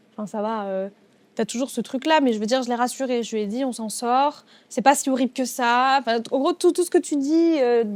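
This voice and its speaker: Speaking at a moderate pace with ordinary pitch variation, a woman with a high pitch is heard in a very clean recording with a silent background. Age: 20s. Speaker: DJ with type 1 diabetes. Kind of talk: interview conversation. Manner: hesitant, many fillers.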